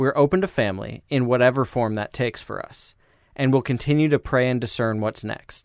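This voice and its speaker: An ordinary speaking voice with an American accent talks at a moderate pace with ordinary pitch variation, recorded very cleanly against a silent background, with a dry, close sound and no echo. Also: man. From Iowa (Des Moines). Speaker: podcast co-host, adoptive parent. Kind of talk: casual chat. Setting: home closet studio.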